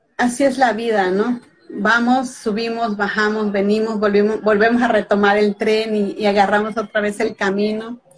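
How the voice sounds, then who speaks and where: With hardly any pauses, a woman talks at a moderate pace in a fairly high, monotone, flat voice while noticeable background noise runs behind her. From Mexico (Veracruz). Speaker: author. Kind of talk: casual interview.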